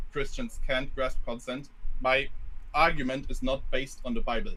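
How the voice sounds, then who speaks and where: A man with a non-native accent talks at a moderate pace. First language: not English. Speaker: caller. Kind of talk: debate. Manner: halting.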